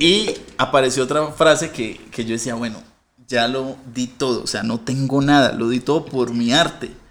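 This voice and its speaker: This man has an ordinary speaking voice, pitched in the medium range, with ordinary pitch variation and a moderate pace. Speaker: comedian. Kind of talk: casual chat.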